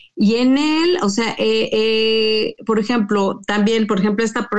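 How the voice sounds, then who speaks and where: The speaker talks very slowly with a Mexican accent and ordinary pitch variation. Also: woman. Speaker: interview guest. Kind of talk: personal testimony.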